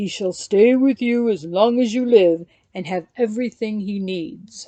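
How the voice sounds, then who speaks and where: A woman uses a put-on character voice with fairly high pitch and ordinary pitch variation. She talks at a moderate pace. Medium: read story.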